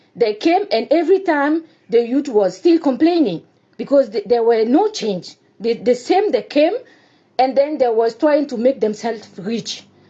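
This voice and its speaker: Speaking at a moderate pace in a Burkinabe accent, a woman uses a high voice that swings very widely in pitch. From Burkina Faso. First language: French. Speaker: Burkinabe citizen giving testimony. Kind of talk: personal testimony. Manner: halting, hesitant non-native speech.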